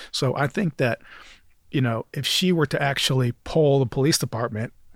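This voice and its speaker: A man with an American accent speaks at a moderate pace, his somewhat breathy voice moving with ordinary pitch variation over a very clean recording with a silent background. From western New York (Jamestown, Rochester area). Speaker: criminal defense attorney, political candidate. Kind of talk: casual interview.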